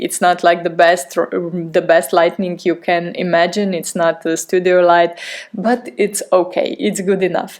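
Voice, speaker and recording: Over noticeable background noise, a woman of medium pitch speaks at a fairly slow pace with a non-native accent. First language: not English. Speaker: podcast host. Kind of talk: podcast monologue. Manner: halting.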